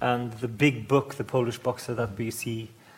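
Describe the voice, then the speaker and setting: A man speaks with a Norwegian accent. His pitch is medium and his intonation fairly even. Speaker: interviewer and novelist. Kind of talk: onstage interview. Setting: stage with audience.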